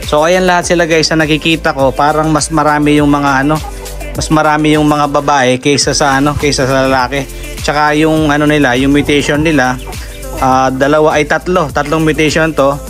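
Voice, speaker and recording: A man talks at a fairly quick pace in a flat monotone, his loudness very even, with clear music playing in the background. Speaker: backyard poultry keeper vlogger. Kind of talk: casual vlog chat. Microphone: phone near.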